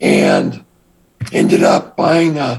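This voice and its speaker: Very slowly, a man with an American accent speaks at a fairly high pitch with vocal fry. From Texas, Austin. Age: 60s. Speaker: former drug smuggler turned entrepreneur. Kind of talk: interview.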